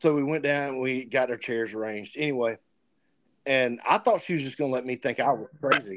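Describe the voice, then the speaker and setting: Medium pitch and ordinary pitch variation from a male speaker with an unremarkable speaking voice. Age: 40s. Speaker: podcast host. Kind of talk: casual chat.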